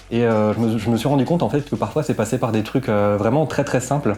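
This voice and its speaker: Spoken at a very fast pace, the voice keeps a fairly even intonation. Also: man. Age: 20s. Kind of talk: interview testimony. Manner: hesitant, many fillers.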